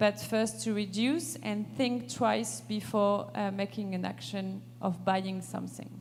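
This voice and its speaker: A woman with a French accent speaks at a fairly slow pace with hardly any pauses, with audible room echo. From France. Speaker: panelist on sustainability. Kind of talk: panel discussion.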